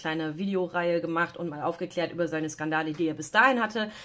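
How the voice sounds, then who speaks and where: This woman speaks at a very fast pace. Her pitch is fairly low. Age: 30s. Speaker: beauty YouTuber. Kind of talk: product unboxing review; casual vlog chat, product review. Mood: critical, disapproving. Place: home room.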